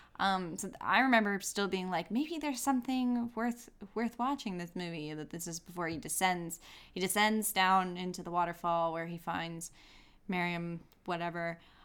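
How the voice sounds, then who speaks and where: An unremarkable speaking voice from a woman at medium pitch, moderate pace and ordinary pitch variation. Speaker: podcast co-host. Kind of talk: casual chat, film review.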